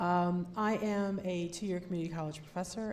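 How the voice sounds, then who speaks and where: Audible room echo surrounds a woman speaking at a moderate pace. Her pitch is fairly low and her intonation fairly even. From US upper Midwest, Madison, Wisconsin. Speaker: political candidate and college professor. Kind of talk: candidate speech at public forum. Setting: public forum with audience. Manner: conversational, many fillers.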